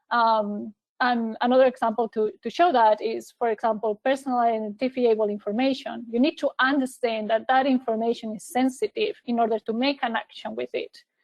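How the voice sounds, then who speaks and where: A woman with a non-native accent and a fairly high pitch talks at a fairly quick pace with fairly even intonation and hardly any pauses. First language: not English. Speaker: cloud technology specialist. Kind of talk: webinar presentation. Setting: online webinar. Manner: hesitant with fillers and repeated words.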